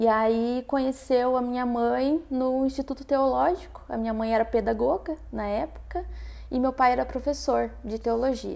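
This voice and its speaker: The recording is very clean, and the background is silent. The pace of speech is moderate. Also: woman. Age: 20s. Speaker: student and church volunteer. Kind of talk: testimony interview.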